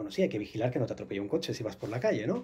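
The man's voice has a dark, mellow tone. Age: 40s. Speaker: astral travel instructor and author; astral travel instructor. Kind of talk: interview. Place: studio.

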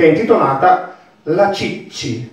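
Over light background noise and audible room echo, a man talks with lively intonation. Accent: Bolognese. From Bologna. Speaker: dialect reader and teacher. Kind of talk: spoken introduction to a poem. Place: hall.

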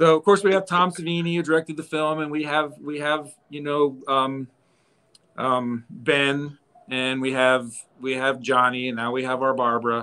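Here a man speaks at a fairly slow pace and a fairly high pitch, with ordinary pitch variation. His tone is bright and sharp, and the background is quiet. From western Pennsylvania, Evans City near Pittsburgh; Pennsylvania. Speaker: horror museum owner; guest. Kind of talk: casual chat. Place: home room. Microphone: video call.

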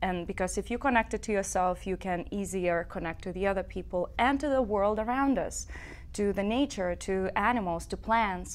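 Here a woman talks with a Lithuanian accent at a moderate pace. Her pitch is medium. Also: ordinary pitch variation. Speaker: singer-songwriter; guest. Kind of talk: interview. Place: studio. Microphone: lapel.

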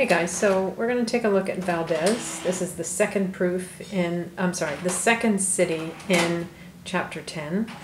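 Over noticeable background noise, a woman speaks at a moderate pace with fairly even intonation. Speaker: math teacher. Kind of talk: tutorial. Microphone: phone near.

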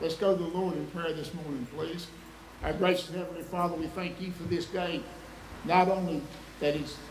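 Over light background noise and audible room echo, a man with a high pitch speaks at a moderate pace in a monotone, flat intonation. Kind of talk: prayer. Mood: solemn, reverent. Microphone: podium.

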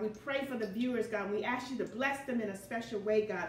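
A woman at a moderate pace with ordinary pitch variation, audible room echo and light background noise. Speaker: home cooking show host. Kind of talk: prayer then cooking tutorial chat. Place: kitchen.

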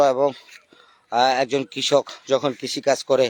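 The intonation stays monotone and flat, with a dry, close sound and no echo. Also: man. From Bangladesh, Cumilla district. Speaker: journalist and farmer. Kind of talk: vlog walkthrough of his field.

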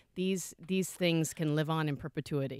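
The speech moves at a fairly quick pace with ordinary pitch variation. The sound is dry, with no echo and a quiet background. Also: woman. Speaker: guest. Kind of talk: interview answer. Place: studio. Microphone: studio mic.

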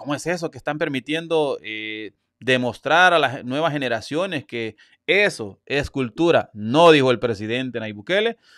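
Over a quiet background, a man with a fairly high pitch talks at a moderate pace in an animated tone with lively intonation, the sound dry with no echo. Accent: Salvadoran. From El Salvador. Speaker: YouTube news commentator. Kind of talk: live-stream news commentary. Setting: live stream. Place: home room. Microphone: studio mic.

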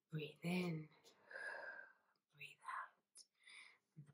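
A soft-spoken woman talks in a warm, gentle tone. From London, UK. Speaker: actress and singer, ASMR creator. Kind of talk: soft-spoken ASMR talk to camera, personal storytelling. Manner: soft-spoken, warm, positive, gentle.

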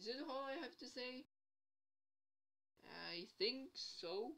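A woman's high-pitched, raised, projected voice. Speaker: gaming and theory vlogger. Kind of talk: casual vlog talk. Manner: rambling, hesitant.

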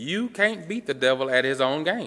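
A man's bright, sharp voice swings very widely in pitch. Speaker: preacher. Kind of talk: sermon. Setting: church. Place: church. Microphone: podium.

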